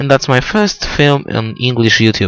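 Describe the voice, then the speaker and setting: With a Polish accent, a man speaks using lively intonation. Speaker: motorsport video blogger. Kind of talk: race preview commentary. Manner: halting.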